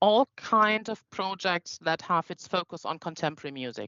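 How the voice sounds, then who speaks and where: A woman with a non-native accent speaks at a moderate pace in a medium pitch, her intonation lively. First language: not English. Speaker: foundation staff presenting funding program. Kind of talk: online info session Q&A. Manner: halting.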